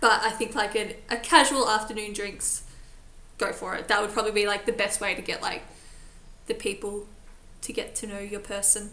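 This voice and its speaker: With long, frequent pauses, a woman speaks in a fairly high, monotone, flat voice at a moderate pace against noticeable background noise. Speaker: podcast host. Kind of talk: casual chat. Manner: laughs easily, jokey.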